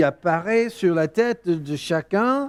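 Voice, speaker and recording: A man's high voice at a very slow pace, with very wide pitch swings. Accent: English. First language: English (speaking French). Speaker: preacher. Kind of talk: sermon. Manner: halting.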